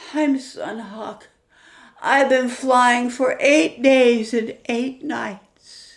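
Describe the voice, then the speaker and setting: A woman speaks very slowly at a high pitch in a put-on character voice. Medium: read story.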